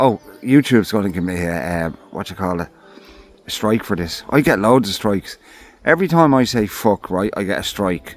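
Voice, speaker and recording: The speaker has an Irish accent and talks at a moderate pace with lively intonation. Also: man. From Ireland. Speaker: camping vlogger. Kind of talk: casual vlog talk. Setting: outdoors in a forest camp hut. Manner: rambling, halting with fillers.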